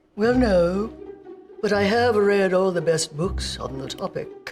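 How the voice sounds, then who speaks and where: In a put-on character voice that is breathy and at a middle pitch, the speaker goes at a fairly slow pace over faint music in the background. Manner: deadpan, wry.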